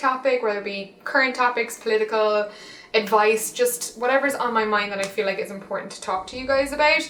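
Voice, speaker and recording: A woman with an Irish accent, fairly high pitch, ordinary pitch variation and a fairly quick pace, over noticeable background noise. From Ireland. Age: 20s. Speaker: fashion and lifestyle blogger. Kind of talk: casual talk to camera.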